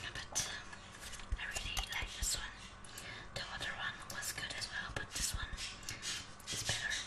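At a moderate pace, a woman speaks with long, frequent pauses. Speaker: ASMR creator. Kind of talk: ASMR show and tell. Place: kitchen. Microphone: webcam.

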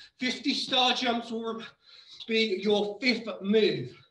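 Audible room echo surrounds a man speaking in a raised, projected voice with fairly even intonation. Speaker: fitness instructor. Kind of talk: live workout coaching. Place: gym. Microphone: camera far.

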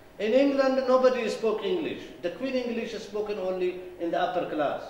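There is audible room echo as a man talks at a fairly quick pace with lively intonation. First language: not English. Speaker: political lecturer. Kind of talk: lecture. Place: hall. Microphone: podium.

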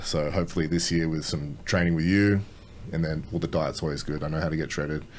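In a very deep, low voice, a man with an Australian accent talks at a very fast pace in a flat monotone over light background noise. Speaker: bodybuilder. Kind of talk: casual chat. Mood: relaxed, confident. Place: studio. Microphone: studio mic.

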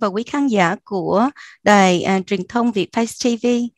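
Here a woman speaks at a fairly slow pace with ordinary pitch variation. The sound is dry with no echo, and the background is quiet. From Australia (South Australia). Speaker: teacher and school principal; guest. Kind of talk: interview. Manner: hesitant, fillers. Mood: polite, formal. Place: office. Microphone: headset.

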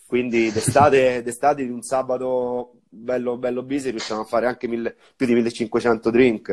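Against a quiet background, a man with a medium pitch speaks fairly slowly in a flat, monotone way. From Viterbo, central Italy. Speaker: bar owner and bartender. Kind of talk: casual live-stream interview. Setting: Instagram live video call. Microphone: earbuds.

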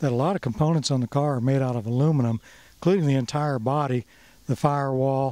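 The sound is dry with no echo as a man speaks at a moderate pace. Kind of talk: interview answer. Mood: proud, informative. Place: garden. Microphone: handheld.

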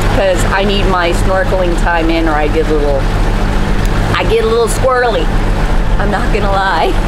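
The background noise is loud. Through it, a woman talks at a moderate pace. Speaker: sailing vlogger. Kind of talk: casual vlog chat. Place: boat. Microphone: phone near.

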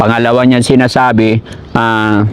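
Noticeable background noise sits behind a man speaking at medium pitch and a fairly slow pace. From Philippines, Manila (Makati). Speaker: charity vlogger helping homeless people. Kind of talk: street interview vlog with appeals to viewers. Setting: outdoors by a highway.

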